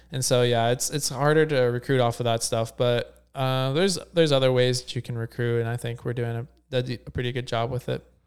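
A man speaks in a normal speaking voice at a medium pitch. He moves at a fairly quick pace with hardly any pauses and fairly even intonation. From Ohio, near Cincinnati. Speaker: competitive swimmer. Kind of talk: interview.

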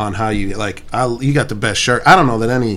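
A man with an American accent and a fairly low pitch speaks amid audible room echo. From North County, St. Louis, Missouri. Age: 30s. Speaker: tattoo artist and podcast co-host. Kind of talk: casual chat.

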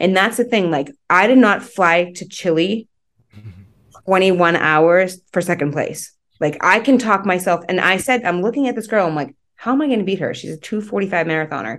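A woman speaks in a plain, everyday voice at a medium pitch and a moderate pace. Her intonation is lively, and the background is quiet. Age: 40s. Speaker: endurance runner. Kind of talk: casual chat.

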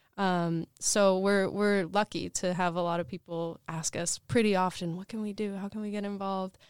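With an American accent and an unremarkable speaking voice, a woman talks at a moderate pace with medium pitch, fairly even intonation, and hardly any pauses. The recording is very clean, with a silent background and a dry, close sound with no echo. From Portland area, US Pacific Northwest. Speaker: nonprofit food hub manager. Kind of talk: interview.

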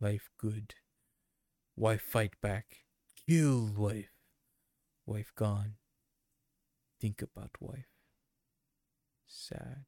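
Putting on a character voice, a man speaks at a very slow pace in a fairly low pitch, with big swings in loudness, ordinary pitch variation, and long, frequent pauses. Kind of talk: broken, primitive speech. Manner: dumb, comedic.

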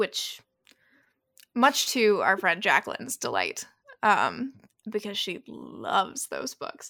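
A woman speaks at a very slow pace, with long, frequent pauses and big swings in loudness. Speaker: podcast host. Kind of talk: casual chat. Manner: animated.

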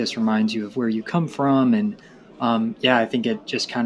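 With a Southern US accent, a man talks at a moderate pace. His pitch sits in the medium range, with ordinary variation. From Tennessee. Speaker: graduate student. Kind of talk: casual chat.

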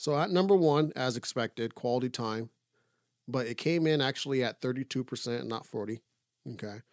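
An ordinary speaking voice at a fairly quick pace with ordinary pitch variation, in a dry, close sound with no echo on a very clean recording with a silent background. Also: man, medium pitch for a man. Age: 30s. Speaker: podcast co-host. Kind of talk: casual chat.

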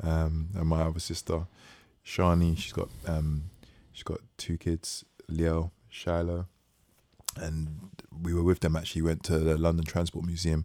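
A man's very deep, low voice at a moderate pace, dark and mellow in tone, monotone and flat, with long, frequent pauses. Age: 30s. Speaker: podcast co-host. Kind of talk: casual chat.

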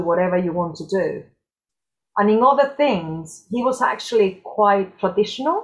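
A woman with a Spanish accent at a moderate pace, with ordinary pitch variation. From southern Spain, Cordoba. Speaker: dance and health specialist. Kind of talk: casual chat.

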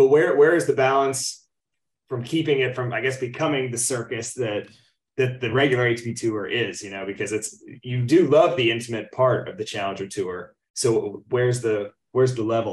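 At a moderate pace, a man speaks in a medium pitch that is somewhat breathy, with ordinary pitch variation. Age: 20s. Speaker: podcast co-host. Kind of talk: casual chat.

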